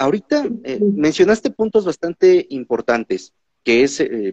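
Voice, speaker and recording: A man talking at a fairly slow pace. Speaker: podcast host. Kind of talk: interview. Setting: online livestream. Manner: talkative.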